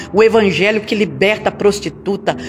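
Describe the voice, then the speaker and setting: A woman talks at a medium pitch. Noticeable background noise can be heard. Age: 60s. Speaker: pastor. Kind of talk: sermon.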